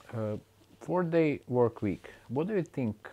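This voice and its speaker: The speaker is a man with a Croatian accent. He talks at a fairly slow pace. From Croatia, Split. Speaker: podcast host. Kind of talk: interview. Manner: halting.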